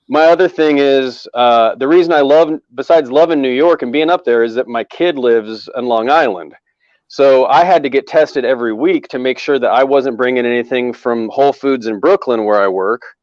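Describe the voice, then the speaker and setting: Over a quiet background, a man at medium pitch talks at a fairly quick pace with hardly any pauses and ordinary pitch variation, the sound dry and close with no echo. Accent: American. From US Northwest. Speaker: comedian. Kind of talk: casual chat. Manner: loud.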